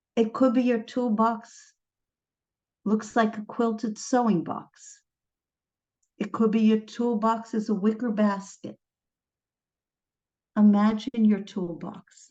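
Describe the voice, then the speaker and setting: A woman with an American accent talks very slowly with long, frequent pauses, her fairly high voice somewhat breathy and dark and mellow in tone, her intonation fairly even. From United States. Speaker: trauma psychologist. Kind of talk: lecture.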